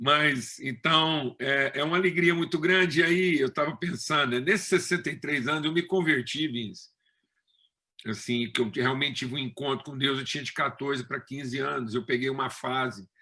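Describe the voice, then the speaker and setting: At a moderate pace, a man talks in a fairly high voice. His tone is bright and sharp, with ordinary pitch variation. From Brazil, Minas Gerais (Triângulo Mineiro). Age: 60s. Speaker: preacher. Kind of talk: sermon. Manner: conversational, with frequent fillers.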